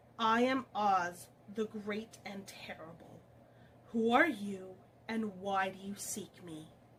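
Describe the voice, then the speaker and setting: Quiet and fairly slow, a woman puts on a character voice at a medium pitch. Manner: quiet, imposing.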